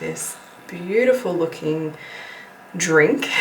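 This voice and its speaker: A woman whispers. Noticeable background noise and audible room echo come through. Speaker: lifestyle vlogger. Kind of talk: casual vlog talk to camera. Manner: whispering.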